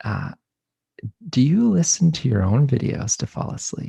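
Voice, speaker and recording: A soft-spoken man at a moderate pace, somewhat breathy, with a dark, mellow tone and very wide pitch swings. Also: dry, close sound with no echo. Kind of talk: interview question.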